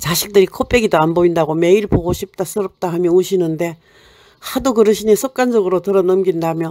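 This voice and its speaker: At a fairly quick pace, a woman speaks with a medium pitch and a dark, mellow tone. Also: ordinary pitch variation. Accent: Gyeongsang. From Gyeongsang region, South Korea. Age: old. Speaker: poet. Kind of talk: short story reading.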